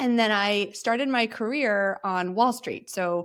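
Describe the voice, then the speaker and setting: Speaking at a fairly slow pace, a woman has an unremarkable speaking voice with ordinary pitch variation. The recording is very clean, with a silent background. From New Jersey (born in Ukraine, moved to US at seven). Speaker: former tech executive and founder. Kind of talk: interview. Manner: conversational, many fillers.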